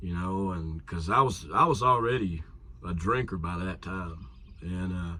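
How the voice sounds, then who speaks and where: With an American accent, a man speaks at a fairly slow pace in a very deep, low pitch with ordinary pitch variation. His tone is bright and sharp, and audible room echo surrounds it. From Kentucky (Somerset). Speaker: musician / songwriter. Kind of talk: casual interview chat.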